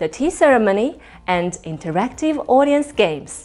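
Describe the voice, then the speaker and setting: Faint music plays behind a woman who speaks at a moderate pace, her pitch swinging very widely. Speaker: wedding MC. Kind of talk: promotional self-introduction to camera. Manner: elegant, composed. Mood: warm, friendly, confident. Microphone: lapel.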